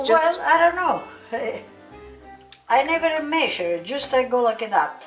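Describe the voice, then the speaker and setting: With an Italian accent and music in the background, the speaker goes at a fairly slow pace, using long, frequent pauses and very wide pitch swings. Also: woman, high pitch for a woman. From Calabria, southern Italy. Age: 80s+. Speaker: home cook. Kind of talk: cooking demonstration.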